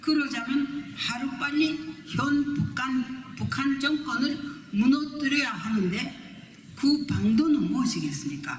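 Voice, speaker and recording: A woman speaks very slowly in a high voice with ordinary pitch variation. Room echo is audible. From Japan. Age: 80s+. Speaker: human rights activist, North Korean defector. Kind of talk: conference speech. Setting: hotel conference forum. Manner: formal.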